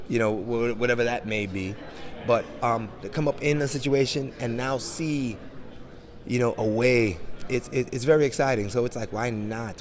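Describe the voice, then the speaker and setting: A man with an American accent talks at medium pitch amid noticeable background noise. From Jamaican, grew up in 1980s New York. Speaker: NFT and crypto entrepreneur. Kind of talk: interview. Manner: animated.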